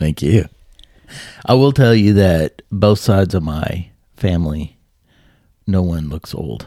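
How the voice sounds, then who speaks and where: A man's very deep, low voice, dark and mellow, with lively intonation, a fairly slow pace and long, frequent pauses, on a very clean recording with a silent background. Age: 50s. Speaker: podcast co-host. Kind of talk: casual chat.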